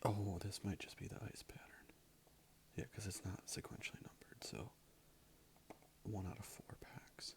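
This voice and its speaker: Someone is whispering at a moderate pace with long, frequent pauses. Music plays in the background. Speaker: ASMR creator. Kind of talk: ASMR card opening ramble. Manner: soft-spoken.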